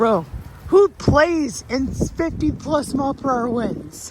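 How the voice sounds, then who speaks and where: The tone is animated. Noticeable background noise runs underneath. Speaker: storm video creator. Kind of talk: casual vlog commentary. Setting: outdoors. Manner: loud.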